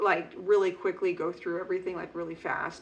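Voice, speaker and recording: The speech runs at a very fast pace with vocal fry. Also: woman. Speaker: knitting podcaster. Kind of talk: casual chat.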